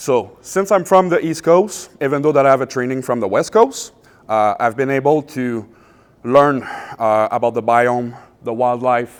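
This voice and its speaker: Speaking with a Quebec accent, a man of medium pitch goes at a fairly slow pace with ordinary pitch variation. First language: French. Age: 30s. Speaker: pest and wildlife control business owner. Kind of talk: public presentation. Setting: public event with audience. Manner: hesitant, many filler uhs.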